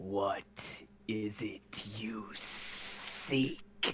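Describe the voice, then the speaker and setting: A man growls in a booming, put-on character voice, fairly low in pitch. Clear background noise runs underneath. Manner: commanding, interrogating.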